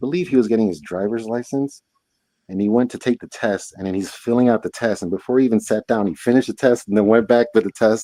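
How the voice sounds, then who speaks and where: A man with a Spanish accent talks at a very fast pace in a dark, mellow tone at medium pitch with ordinary pitch variation. The sound is dry and close, with no echo. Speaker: live stream guest. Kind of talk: casual chat. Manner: animated.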